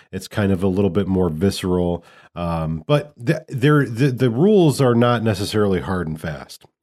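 A man speaks at a moderate pace in an ordinary speaking voice, fairly low-pitched with lively intonation, on a very clean recording with a silent background. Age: 30s. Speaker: podcast co-host. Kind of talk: casual chat. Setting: home studio.

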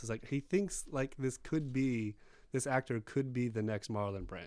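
Very cleanly recorded against a silent background, a man speaks in an ordinary speaking voice at medium pitch. His intonation is lively and his pace moderate. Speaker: podcast panelist. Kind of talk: casual chat.

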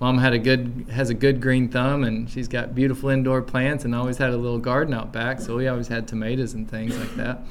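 In an Appalachian accent, a man with a medium pitch talks at a fairly quick pace with hardly any pauses, in a monotone, flat intonation, with audible room echo. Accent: Southern US (Appalachian). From East Tennessee. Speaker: farmer and seed saver. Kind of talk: casual interview. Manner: halting, with many fillers and repeats.

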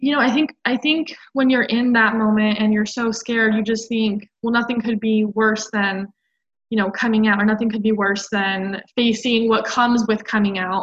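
With an American accent, a woman speaks at a moderate pace in a fairly high, somewhat breathy voice, her intonation fairly even and her loudness very even. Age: 20s. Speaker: podcast guest. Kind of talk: casual chat.

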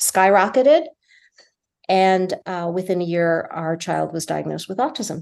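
Fairly slow delivery in an unremarkable speaking voice with an American accent. The background is quiet. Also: woman. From New Jersey. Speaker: film director and producer. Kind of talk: casual interview.

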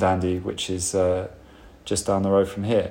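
In a normal speaking voice, a man talks at a moderate pace and fairly low pitch. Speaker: podcast host and bar worker. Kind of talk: casual interview chat. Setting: empty bar, recorded in lockdown.

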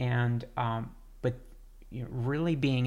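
An unremarkable speaking voice from a man, medium in pitch, fairly slow, with fairly even intonation. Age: 50s. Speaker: podcast host, veteran paramedic. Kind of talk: interview conversation.

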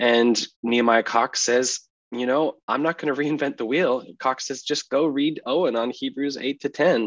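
Speaking at a moderate pace, a man with an American accent and a normal speaking voice keeps to medium pitch and fairly even intonation. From US Northeast (Massachusetts). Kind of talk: podcast interview on theology.

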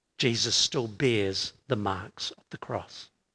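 A man talks at a very slow pace, and the background stays quiet. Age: 60s. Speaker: pastor. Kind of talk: sermon. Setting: church with congregation.

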